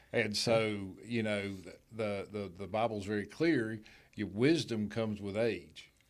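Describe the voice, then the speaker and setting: A man with a North Carolina accent talks at a fairly slow pace. His pitch is fairly low, with fairly even intonation. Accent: Southern US (North Carolina). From western North Carolina, Hickory area. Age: 60s. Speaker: gym owner and speedway official. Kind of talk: casual interview. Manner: halting, repeats words.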